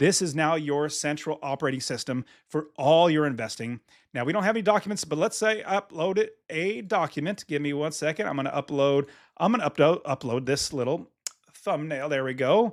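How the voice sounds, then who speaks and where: Lively intonation at a fairly quick pace, on a very clean recording with a silent background. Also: man, fairly high pitch for a man. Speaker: real estate investor and software founder. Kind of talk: software tutorial walkthrough. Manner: enthusiastic, animated.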